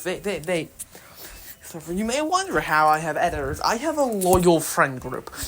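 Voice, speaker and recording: A woman talks at a moderate pace with very wide pitch swings amid noticeable background noise. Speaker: video creator doing voice acting.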